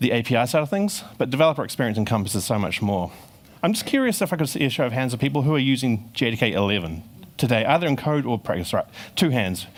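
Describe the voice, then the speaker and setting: A man with a New Zealand accent talks at a very fast pace in a medium-pitched voice, his pitch swinging very widely while his loudness stays very even. The recording is very clean, with a silent background. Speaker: software engineer giving conference talk. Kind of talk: conference talk. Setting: stage with audience.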